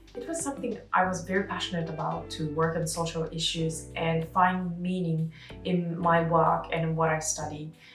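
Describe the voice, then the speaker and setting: A woman with a fairly low pitch and fairly even intonation at a moderate pace, with hardly any pauses, audible room echo and music in the background. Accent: Japanese. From Japan. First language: Japanese. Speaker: architect and vlogger. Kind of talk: personal vlog. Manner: halting.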